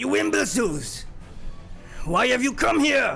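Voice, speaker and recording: A man puts on a character voice, gruff and raspy, raised and projected at a moderate pace. Clear background noise runs underneath. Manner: angry, scolding.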